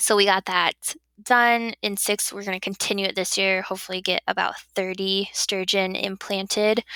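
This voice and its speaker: A woman's bright, sharp, medium-pitched voice in a slight Wisconsin accent, moderate in pace, with monotone, flat intonation and a dry, close sound with no echo. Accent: slight Wisconsin accent picked up. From southern Illinois. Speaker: fisheries biologist. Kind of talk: podcast interview.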